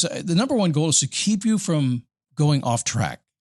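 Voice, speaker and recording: In a dry, close sound with no echo and a quiet background, a somewhat breathy man speaks with very wide pitch swings. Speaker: podcast host; voiceover and spokesperson performer. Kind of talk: motivational podcast talk. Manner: casual, conversational.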